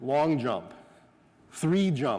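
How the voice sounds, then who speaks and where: A man with a slight North Dakota accent, fairly high pitch, ordinary pitch variation and an animated tone. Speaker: sport scientist and coach educator. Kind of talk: coaching clinic talk.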